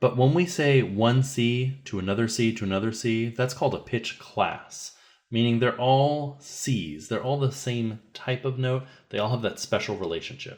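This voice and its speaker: Over a quiet background, a man speaks at a moderate pace with a medium pitch and ordinary pitch variation. It is a plain, everyday voice. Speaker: music teacher. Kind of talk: tutorial.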